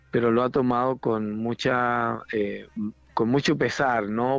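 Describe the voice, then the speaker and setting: Over music in the background, a man talks at a medium pitch with ordinary pitch variation. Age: 50s. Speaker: pastor. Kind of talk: interview.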